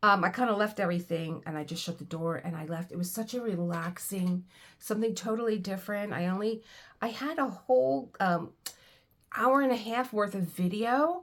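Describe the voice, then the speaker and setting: The woman has an unremarkable speaking voice at medium pitch. Her intonation is lively and her pace moderate. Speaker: book reader. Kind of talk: casual talk to camera.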